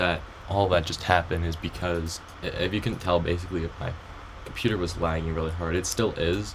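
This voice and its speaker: A man speaks in a very deep, low voice over noticeable background noise. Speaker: Roblox game dev tutorial youtuber. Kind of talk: tutorial. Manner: hesitant, many ums; trying to sound more enthusiastic.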